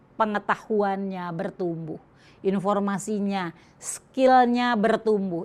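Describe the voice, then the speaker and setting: A woman's very slow speech with ordinary pitch variation. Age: 60s. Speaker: Islamic women's speaker. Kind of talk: religious lecture.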